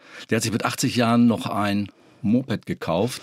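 Over noticeable background noise, a man with a medium pitch speaks at a moderate pace. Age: 60s. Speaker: podcast co-host, retiree. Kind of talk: casual chat.

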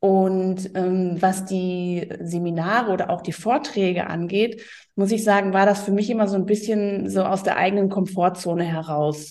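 Speaking at a moderate pace, a woman keeps her medium-pitched voice in fairly even intonation. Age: 40s. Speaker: tax advisor. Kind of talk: interview. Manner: hesitant, many fillers.

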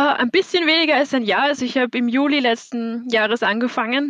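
A woman's high voice with a slight Viennese accent and ordinary pitch variation, dry and close with no echo. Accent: little Viennese. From Austria, Vienna. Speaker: listener, student. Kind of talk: casual chat. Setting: video call.

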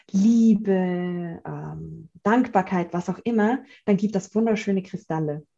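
A somewhat breathy woman's voice at medium pitch, with a dark, mellow tone, a slight Swiss German accent, fairly even intonation and a very slow pace. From Switzerland, Zurich. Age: 30s. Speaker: gratitude coach and author. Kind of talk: interview. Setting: video call.

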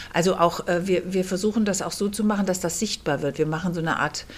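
A woman talks at a medium pitch and a moderate pace. Her intonation is fairly even. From Kassel, northern Hesse, Germany. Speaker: theatre director. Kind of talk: interview. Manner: hesitant, many fillers.

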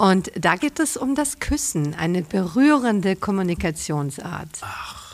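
With very wide pitch swings, a woman talks at a fairly slow pace with hardly any pauses. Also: medium pitch for a woman. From Bavaria, Franconia (south of Nuremberg). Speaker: writer and journalist. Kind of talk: casual interview. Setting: outdoors on a terrace.

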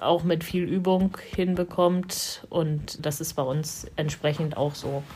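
A woman with a fairly low pitch sounds somewhat breathy. She speaks very slowly in a flat monotone. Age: 50s. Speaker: blind tennis player, police administrative employee. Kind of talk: interview.

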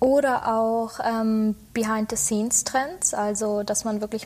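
The pitch here is fairly high. It belongs to a woman. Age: 20s. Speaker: media design student and social media employee. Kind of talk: casual interview.

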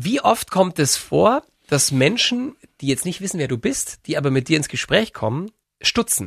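With a dry, close sound and no echo, a man with a fairly high pitch and vocal fry talks at a moderate pace through very wide pitch swings. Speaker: radio host. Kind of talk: casual interview. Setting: studio.

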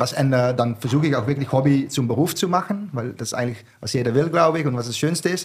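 A man talks with a Dutch accent in a fairly high, somewhat breathy voice. He keeps a moderate pace and ordinary pitch variation. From southern Netherlands. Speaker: wine bar owner. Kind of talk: casual chat. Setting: studio.

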